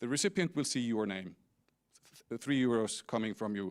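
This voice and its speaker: Recorded very cleanly with a silent background and a dry, close sound with no echo, a man with an Icelandic accent speaks at a medium pitch and a fairly quick pace. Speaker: company CEO. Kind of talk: conference talk. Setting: stage with audience.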